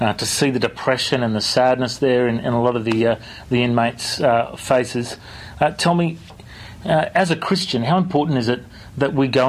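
A man speaks with a normal speaking voice at a medium pitch. His pace is fairly quick. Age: 30s. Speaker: radio host and pastor. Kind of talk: interview.

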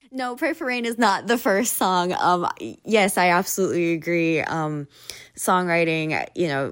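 With a Hawaiian accent, a woman speaks at a fairly low pitch and a moderate pace. Her intonation is lively, and the recording is very clean with a silent background. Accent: Hawaiian American English. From Hawaii (Oahu). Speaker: singer-songwriter. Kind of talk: interview. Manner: hesitant, many fillers.

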